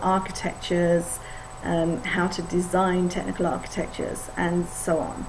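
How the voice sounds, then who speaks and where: A woman's fairly low voice in an English accent, monotone and flat, at a fairly slow pace, with audible room echo and noticeable background noise. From England. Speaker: IT consultant. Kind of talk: course video introduction. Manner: hesitant, many fillers.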